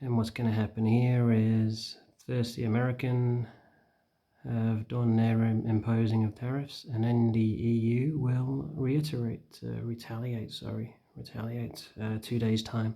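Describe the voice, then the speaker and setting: Soft-spoken and fairly slow, the speaker talks with a northern English accent. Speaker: stock trading vlogger. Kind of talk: casual vlog commentary. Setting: at home. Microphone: too quiet, hard to hear.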